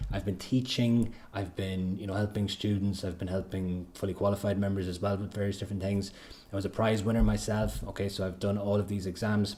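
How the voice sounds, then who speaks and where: A man speaks very fast in a fairly low, somewhat breathy voice with a dark, mellow tone. Audible room echo surrounds him. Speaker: accountancy exam tutor. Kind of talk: livestream lecture.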